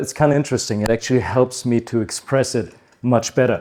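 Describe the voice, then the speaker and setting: Talking at a moderate pace, a man keeps a monotone, flat intonation. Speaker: chiropractor, conference speaker. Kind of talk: conference talk. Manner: hesitant, with frequent fillers.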